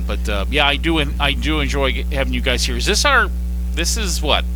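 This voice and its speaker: With music in the background and audible room echo, a man speaks at a fairly quick pace in a very deep, low voice with monotone, flat intonation. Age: 60s. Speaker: radio station general manager and producer. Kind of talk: casual chat. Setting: on location at a pizza restaurant.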